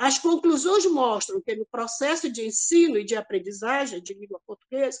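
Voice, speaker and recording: With hardly any pauses, a high-pitched woman moves at a moderate pace through very wide pitch swings and big swings in loudness, in a dry, close sound with no echo. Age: 70s. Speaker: retired teacher, academic presenter. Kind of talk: academic presentation. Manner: halting.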